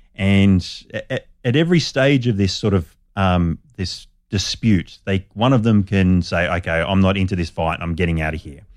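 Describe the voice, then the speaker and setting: A man with an Australian accent speaks in a very deep, low voice, recorded very cleanly against a silent background. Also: ordinary pitch variation, moderate pace. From Australia, Sydney northern beaches. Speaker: biologist. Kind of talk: interview.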